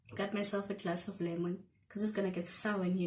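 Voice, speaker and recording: A woman speaks very fast at a medium pitch with monotone, flat intonation. Noticeable background noise runs underneath. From South Africa. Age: 20s. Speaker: YouTuber. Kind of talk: casual storytime talk to camera. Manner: chatty, playful.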